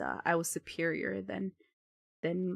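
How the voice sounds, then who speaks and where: A woman's moderately paced speech, dry and close with no echo. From US, Mexican-American farming family. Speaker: streamer. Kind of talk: casual chat. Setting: live stream. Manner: halting.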